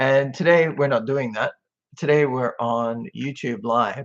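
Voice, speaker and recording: A man with an Australian accent, fairly slow pace and medium pitch against a quiet background. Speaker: social media commentator. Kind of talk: casual live-stream chat. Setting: webcam live stream. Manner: laid back.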